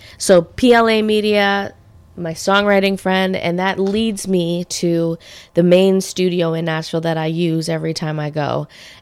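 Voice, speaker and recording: In an ordinary speaking voice, a woman talks at a moderate pace with a fairly low pitch and fairly even intonation. The recording is very clean, with a silent background. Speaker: podcast host and singer. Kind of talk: casual chat. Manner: chatty, laughs often.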